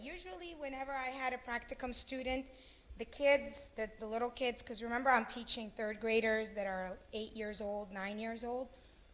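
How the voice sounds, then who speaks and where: A woman speaks loudly at a high pitch. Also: hardly any pauses. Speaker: elementary school teacher. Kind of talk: career day talk. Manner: hesitant, many fillers.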